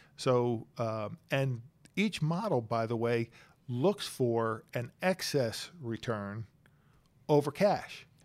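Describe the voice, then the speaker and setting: In a very clean recording with a silent background, a man with an American accent speaks very slowly with lively intonation. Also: medium pitch for a man. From Pennsylvania, Bucks County. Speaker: chief investment officer. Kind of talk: interview.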